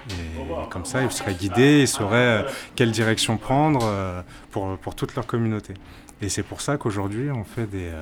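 A man talks at a moderate pace with a fairly low pitch. Music plays in the background. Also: ordinary pitch variation. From Martinique. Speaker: traveller. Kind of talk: interview. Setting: restaurant. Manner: halting.

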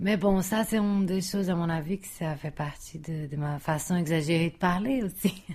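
A woman's fairly low, somewhat breathy voice in a Brazilian accent, at a moderate pace with ordinary pitch variation and hardly any pauses. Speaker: architect. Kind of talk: casual chat. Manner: exaggerated vowels.

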